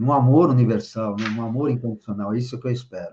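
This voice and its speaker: The background is quiet. A man's tone comes across dark and mellow. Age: 60s. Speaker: spiritual leader. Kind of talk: interview.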